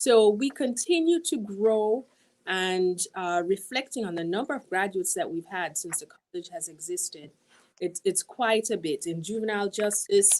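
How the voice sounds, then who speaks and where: A woman at medium pitch with big swings in loudness, in a very clean recording with a silent background. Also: lively intonation, moderate pace. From Jamaica. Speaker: university dean. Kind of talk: interview.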